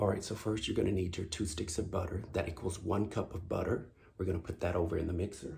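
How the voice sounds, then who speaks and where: Very fast and quiet, a man speaks at a very deep, low pitch, somewhat breathy, with a dark, mellow tone and fairly even intonation. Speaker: home cooking channel host. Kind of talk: cooking tutorial. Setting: home kitchen. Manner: quiet, low-voiced.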